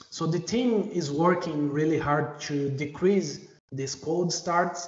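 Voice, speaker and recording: A man with a non-native accent and high pitch, at a very slow pace with ordinary pitch variation, amid noticeable background noise and audible room echo. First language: not English. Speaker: software engineer presenting at a user group. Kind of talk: technical presentation. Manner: hesitant, many fillers.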